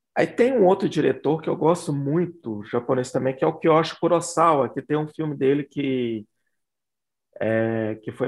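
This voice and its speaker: In a plain, everyday voice, a man talks at a moderate pace with a fairly high pitch and ordinary pitch variation. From Belo Horizonte, Minas Gerais, Brazil. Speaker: horror film critic. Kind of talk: casual chat.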